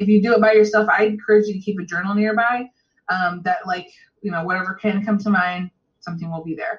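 A woman's somewhat breathy voice at a very fast pace. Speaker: energy healer giving a reading. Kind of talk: guided breathwork meditation; coaching session and energy reading. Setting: one-on-one coaching call.

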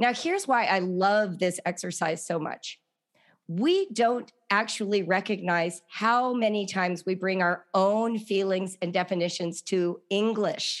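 In a very clean recording with a silent background, a woman with an ordinary speaking voice talks at medium pitch with fairly even intonation. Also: fairly slow pace. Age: 60s. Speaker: author and homeschooling parent. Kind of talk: interview.

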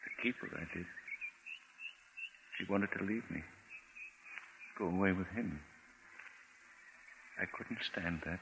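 Putting on a character voice, a man speaks low-pitched with vocal fry and a fairly bright tone, at a slow pace with long, frequent pauses and ordinary pitch variation.

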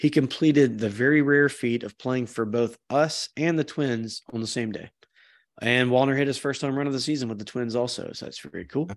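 A man with an ordinary speaking voice talks at a fairly quick pace, his medium pitch held to fairly even intonation against a quiet background. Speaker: podcast host. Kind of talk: casual chat. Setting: remote video call.

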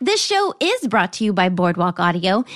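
At a moderate pace, a woman talks with an American accent. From US South. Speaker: podcast host. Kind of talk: casual chat.

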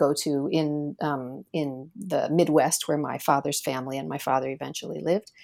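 Dark, mellow tone at a moderate pace with an American accent, on a very clean recording with a silent background. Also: woman. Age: 40s. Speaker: professor. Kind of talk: interview. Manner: hesitant, many fillers.

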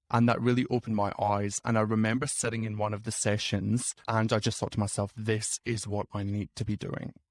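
A man with a Scottish accent talks at a fairly quick pace with hardly any pauses, in a fairly low, monotone, flat voice. The recording is very clean with a silent background and a dry, close sound with no echo. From Scotland. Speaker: nurse and career coach. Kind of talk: casual interview chat.

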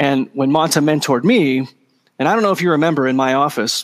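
A man with a Californian accent, fairly high-pitched and very fast, in a dry, close sound with no echo. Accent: Californian American English. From Southern California, Orange County. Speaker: psychology professor. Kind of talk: interview conversation.

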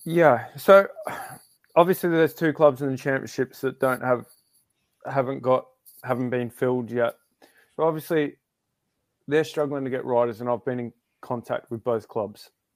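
Heard in a dry, close sound with no echo on a very clean recording against a silent background, a man with an Australian accent speaks at a medium pitch and moderate pace, with ordinary pitch variation and long, frequent pauses. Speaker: speedway rider. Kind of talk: casual chat.

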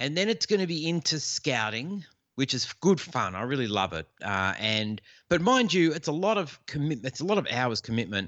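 With an Australian accent, a man speaks at a moderate pace and a fairly high pitch, showing vocal fry and very wide pitch swings. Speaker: fantasy football podcaster. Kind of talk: casual chat.

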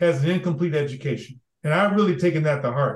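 At a fairly quick pace, a man speaks with a high pitch and ordinary pitch variation. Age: old. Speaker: former diplomat and development leader. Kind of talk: interview conversation.

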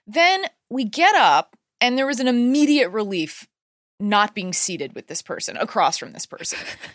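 This animated voice swings widely in pitch and makes big swings in loudness. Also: woman, high pitch for a woman, moderate pace, dry, close sound with no echo. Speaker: stand-up comedian and writer. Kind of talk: casual chat.

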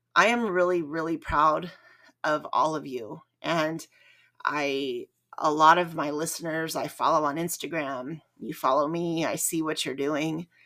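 Speaking at a fairly slow pace, a woman has a very deep, low pitch, ordinary pitch variation and a bright, sharp tone. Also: very clean recording, silent background. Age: 40s. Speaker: running podcast host. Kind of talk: solo podcast monologue. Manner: rambling conversational.

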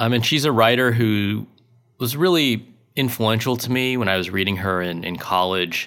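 A man speaks at a medium pitch and a moderate pace in a plain, everyday voice. The recording is very clean, with a silent background. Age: 40s. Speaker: writer and college teacher. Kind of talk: interview.

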